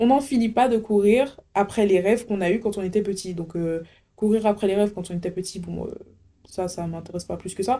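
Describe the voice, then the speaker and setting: With an Antillean accent, a woman talks at a fairly quick pace in a medium voice, her tone dark and mellow and her pitch varying in an ordinary way. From French Antilles. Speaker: podcast host. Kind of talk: casual monologue. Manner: animated.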